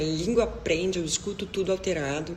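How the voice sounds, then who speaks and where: Moderate-paced speech from a woman with a fairly low voice, noticeable noise behind it. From southern Brazil, Rio Grande do Sul. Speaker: deaf cochlear implant user, video creator. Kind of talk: personal testimony to camera.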